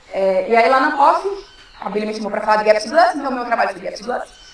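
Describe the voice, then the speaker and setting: A woman's intonation is lively, with clearly audible noise behind her. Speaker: philosophy researcher. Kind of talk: academic talk. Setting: workshop with audience. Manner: fast; casual, joking.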